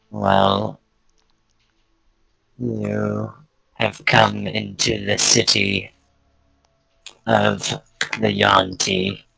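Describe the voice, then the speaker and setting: A man speaks in a put-on character voice, very deep and low, at a very slow pace with long, frequent pauses. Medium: actual play. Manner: evasive, slightly haughty.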